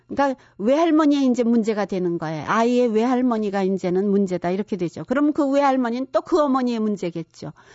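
Her fairly high voice races along at a very fast pace with lively intonation and hardly any pauses, this woman barely stopping. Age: 70s. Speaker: counselor. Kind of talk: lecture.

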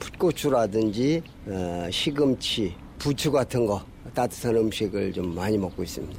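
A man with lively intonation at a fairly slow pace, amid noticeable background noise. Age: 70s. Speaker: retired taekwondo instructor, interviewee. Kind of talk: recorded interview.

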